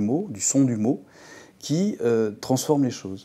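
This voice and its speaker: A man with a southern French accent speaks at a medium pitch in a dark, mellow tone, on a very clean recording with a silent background. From southern France. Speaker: visual artist. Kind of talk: interview conversation. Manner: halting, many repetitions.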